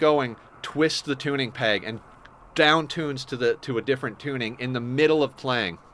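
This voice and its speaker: Here a man speaks with a bright, sharp tone. His pitch varies in an ordinary way. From Canada. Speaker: gaming streamer. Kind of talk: live gameplay stream chat. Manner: casual, conversational.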